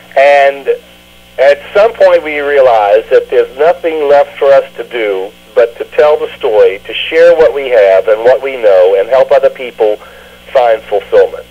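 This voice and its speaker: A man with a Southern US accent talks at a fairly slow pace over noticeable background noise. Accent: Southern US (Georgia). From US South. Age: 60s. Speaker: mayoral candidate. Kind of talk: radio interview.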